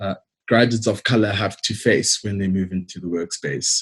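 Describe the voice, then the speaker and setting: Somewhat breathy, the voice moves at a moderate pace with fairly even intonation and a South African accent. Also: man. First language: Xitsonga. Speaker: engineer. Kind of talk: presentation talk. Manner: hesitant with fillers.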